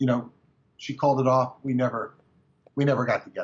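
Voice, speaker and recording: A somewhat breathy, fairly high male voice at a fairly quick pace. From California. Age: 60s. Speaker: author and researcher. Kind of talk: interview. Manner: halting.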